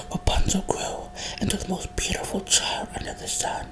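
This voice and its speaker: Noticeable background noise fills the clip. Over it, a woman whispers. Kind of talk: storybook reading, ASMR-style whisper. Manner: whispered.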